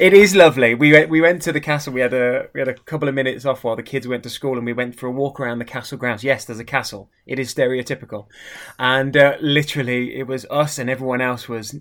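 Heard on a very clean recording with a silent background, a man with an English accent talks very fast with hardly any pauses. His medium-pitched voice keeps fairly even intonation while its loudness swings a lot. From Midlands, England. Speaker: watch brand manager. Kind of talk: casual chat.

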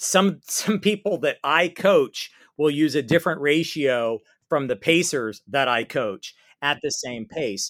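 A man speaks in a plain, everyday voice at a moderate pace, with lively intonation. The sound is dry and close with no echo, on a very clean recording with a silent background. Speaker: pace group coach. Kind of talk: interview.

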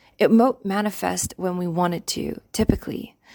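A woman speaks at a moderate pace. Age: 20s. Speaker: life coach and podcast host. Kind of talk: scripted narration.

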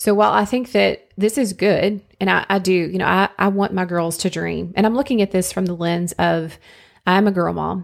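A woman's unremarkable speaking voice at medium pitch and moderate pace, with fairly even intonation, on a very clean recording with a silent background. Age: 40s. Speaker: podcast host. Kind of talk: solo monologue podcast.

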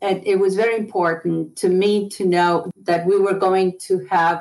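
A woman with an Argentine accent speaks at a fairly low pitch in a monotone, flat intonation. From Buenos Aires, Argentina. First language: Spanish. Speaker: retired college administrator. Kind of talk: casual interview.

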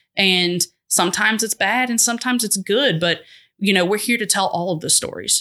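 A woman with an ordinary speaking voice, medium pitch, ordinary pitch variation and a fairly quick pace over a quiet background. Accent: American. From Boston area and North Georgia. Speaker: TV news manager. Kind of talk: casual interview.

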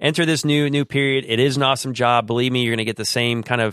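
In a plain, everyday voice, a man speaks at a fairly quick pace with medium pitch and ordinary pitch variation. The sound is dry and close with no echo, over a quiet background. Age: 30s. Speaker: police officer and army veteran. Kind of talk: casual interview.

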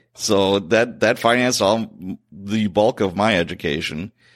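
A man's fairly low-pitched voice with an American accent, on a very clean recording with a silent background. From Chicago, South Side. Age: 50s. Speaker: retired police sergeant, podcast host. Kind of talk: interview storytelling. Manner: animated.

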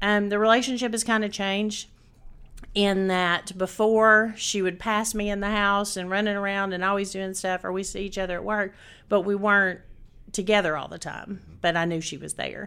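In a Tennessee accent, a woman at medium pitch talks at a moderate pace with a monotone, flat intonation. Her tone is bright and sharp, and the recording is very clean with a silent background. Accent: Southern US (Tennessee). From Chattanooga, Tennessee, US South. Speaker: restaurant franchisee. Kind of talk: interview.

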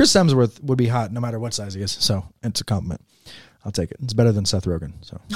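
A man speaks at a very fast pace in a somewhat breathy voice of medium pitch with ordinary variation. The recording is very clean, with a silent background. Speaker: podcast host and photographer. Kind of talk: casual chat. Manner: halting.

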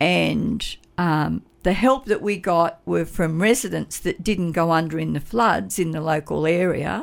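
On a very clean recording with a silent background, a woman talks at a fairly slow pace. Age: 70s. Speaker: community volunteer advocate for seniors. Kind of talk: radio interview. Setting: radio studio.

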